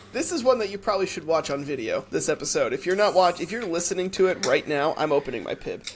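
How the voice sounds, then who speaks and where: Noticeable background noise accompanies a man's voice. He speaks at a fairly quick pace in a high pitch. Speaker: podcast co-host. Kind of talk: casual chat.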